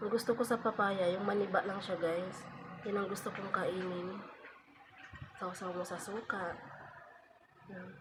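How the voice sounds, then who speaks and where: Noticeable background noise surrounds a woman speaking at a fairly slow pace in a medium pitch. Her intonation is flat and monotone, broken by long, frequent pauses. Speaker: vlogger. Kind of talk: casual vlog talk. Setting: at home, just woke up.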